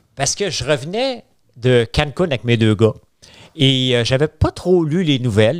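A man talks at a moderate pace in a Quebec accent. His intonation is lively, with a quiet background. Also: dry sound with no echo. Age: 50s. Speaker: entrepreneur; podcast guest. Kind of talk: casual chat. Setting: studio. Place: studio. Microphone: studio mic.

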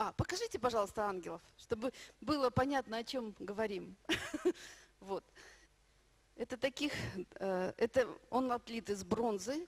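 Speaking at a fairly slow pace with long, frequent pauses, a woman uses lively intonation and a fairly high pitch. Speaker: minister. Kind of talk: sermon. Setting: church. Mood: warm, heartfelt. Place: hall. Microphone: handheld.

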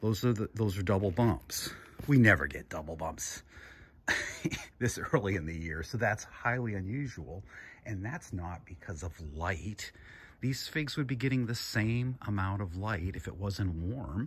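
Somewhat breathy and fairly low-pitched, a man talks at a fairly slow pace with lively intonation. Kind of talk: casual vlog chat. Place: garden. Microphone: phone near.

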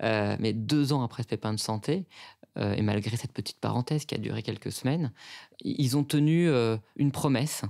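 In a very clean recording with a silent background and a dry, close sound with no echo, a man speaks at a moderate pace at medium pitch with ordinary pitch variation. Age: 30s. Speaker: consultancy director. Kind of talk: testimony. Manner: hesitant, many fillers.

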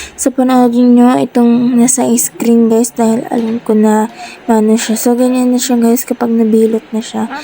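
Over noticeable background noise, a woman's speech moves at a fairly slow pace. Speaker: vlogger. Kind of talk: voice-over narration.

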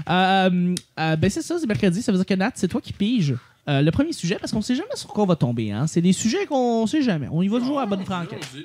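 Very fast and high-pitched, a man's speech swings very widely in pitch. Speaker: podcast host. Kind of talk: casual chat.

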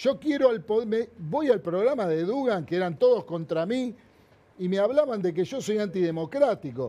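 A man's high voice with a dark, mellow tone, in a Rioplatense accent, at a moderate pace with lively intonation. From Argentina, Buenos Aires area; Argentina. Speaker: hairdresser and businessman; interview guest. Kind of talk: interview. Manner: animated. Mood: indignant, critical. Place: studio. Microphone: lapel.

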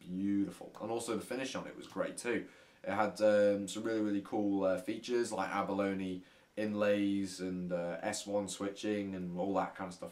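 This man has a normal speaking voice with a fairly low pitch. He talks at a moderate pace with fairly even intonation. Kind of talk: casual vlog chat. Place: home room. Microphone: camera far.

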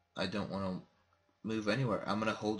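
A quiet voice. It moves at a fairly quick pace. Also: man. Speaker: gaming youtuber. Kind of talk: let's play commentary. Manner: quiet, kept low volume.

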